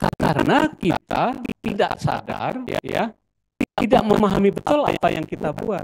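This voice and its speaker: A man speaks at a high pitch with lively intonation. His pace is fairly slow, and the sound is dry and close with no echo. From Solo, Central Java. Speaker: artist and lecturer. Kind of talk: lecture. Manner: conversational, many fillers.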